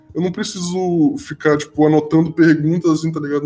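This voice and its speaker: Music plays in the background while the speech moves at a moderate pace. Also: man. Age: 20s. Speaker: podcast host. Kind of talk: casual chat. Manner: halting.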